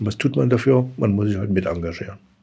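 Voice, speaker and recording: Talking at a very fast pace, a man with a fairly low pitch sounds somewhat breathy. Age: 60s. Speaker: head of a regional aid organisation. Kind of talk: interview. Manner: halting.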